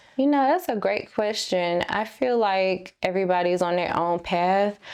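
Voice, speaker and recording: With a North Carolina accent, a woman speaks at a medium pitch. Her loudness stays very even, and her pitch varies in an ordinary way. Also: moderate pace. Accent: Southern US (North Carolina). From North Carolina, US South. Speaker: singer and songwriter. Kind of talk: interview.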